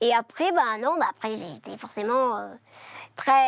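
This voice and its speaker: With lively intonation, a woman speaks at a high pitch in a very clean recording with a silent background and a dry, close sound with no echo. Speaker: singer. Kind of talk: interview.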